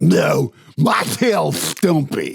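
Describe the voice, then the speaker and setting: A man growls in a put-on character voice. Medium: read story. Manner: slurping, sloppy.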